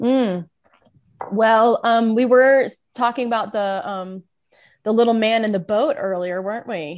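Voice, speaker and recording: Over a silent background in a very clean recording, a woman with a fairly high pitch and ordinary pitch variation talks at a fairly slow pace with long, frequent pauses. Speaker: guest, singer and performer. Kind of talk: casual comedic chat.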